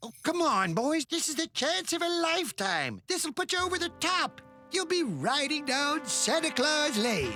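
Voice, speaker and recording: A cartoonish character voice moves at a moderate pace with hardly any pauses. Faint music plays in the background. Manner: smooth, wheedling.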